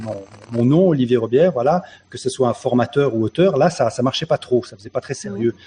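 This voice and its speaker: In a dark, mellow tone, a man speaks at a fairly quick pace, somewhat breathy. His pitch is medium, with ordinary pitch variation. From France, Dordogne. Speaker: online show host and writer. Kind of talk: casual chat.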